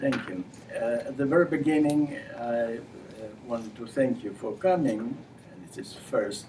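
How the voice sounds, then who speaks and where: With a Ukrainian accent, a man of medium pitch talks at a moderate pace with lively intonation, big swings in loudness and long, frequent pauses, amid audible room echo and noticeable background noise. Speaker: university administrator and human rights figure. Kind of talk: lecture. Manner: halting.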